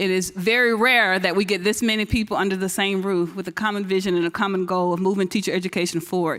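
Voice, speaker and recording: Speaking very fast with hardly any pauses, a woman holds a medium pitch in a flat monotone at very even loudness. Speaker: science foundation program director. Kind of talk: conference speech. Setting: stage with audience.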